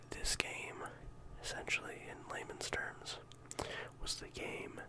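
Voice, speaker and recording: Very slow whispering in a relaxed tone comes over noticeable background noise. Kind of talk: ASMR discussion of a video game collection, casual talk to camera. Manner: soft-spoken, relaxed.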